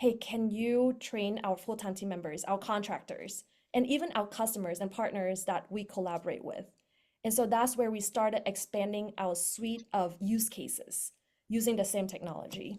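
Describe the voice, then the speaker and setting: In a very clean recording with a silent background, a woman with a non-native accent speaks at a fairly high pitch. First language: not English. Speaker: startup co-founder. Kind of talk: panel talk. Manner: many filler words (um, uh).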